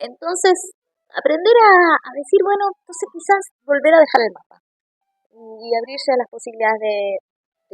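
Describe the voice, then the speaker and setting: In an Argentine accent, a woman talks at a moderate pace with very wide pitch swings. The sound is dry and close, with no echo. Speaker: actress and comedian. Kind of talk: interview.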